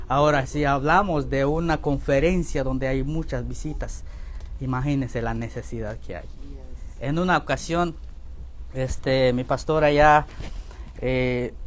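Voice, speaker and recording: A fairly slow pace with long, frequent pauses, in a Guatemalan accent. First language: K'iche' (speaking Spanish). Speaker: Bible institute teacher. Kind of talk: lecture. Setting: church classroom, also streamed online.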